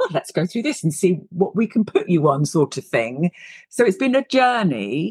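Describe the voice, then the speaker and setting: With a British accent, a woman speaks at a medium pitch with vocal fry and very wide pitch swings, the sound dry and close with no echo. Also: moderate pace. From UK. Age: 50s. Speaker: leadership coach. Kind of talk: interview.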